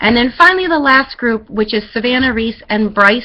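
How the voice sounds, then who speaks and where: Her voice sits fairly high for a woman and carries a bright, sharp tone. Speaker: schoolteacher. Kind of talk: classroom instructions. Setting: webcam recording. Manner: fast.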